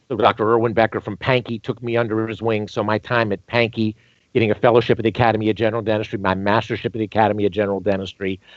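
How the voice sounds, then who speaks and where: The talking is at a very fast pace, with an American accent. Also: man, fairly low pitch for a man. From North Carolina (Greensboro). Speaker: dentist and dental educator. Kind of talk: podcast interview. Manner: animated.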